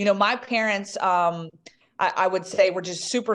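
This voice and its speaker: A woman at medium pitch with a slight Southern US accent. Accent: slight Southern drawl, toned down. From US South, Southwest Virginia. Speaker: sports reporter. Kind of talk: interview.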